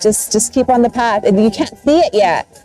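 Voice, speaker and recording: A woman talks fairly quickly. Behind her, music plays. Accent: American. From Southern California. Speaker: doctor. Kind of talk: interview.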